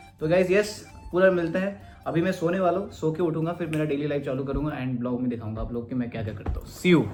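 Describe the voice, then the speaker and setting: A man with a fairly high pitch speaks with lively intonation over background music, with audible room echo. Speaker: vlogger and event organiser. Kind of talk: casual vlog. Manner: casual, Hindi-English code-switching.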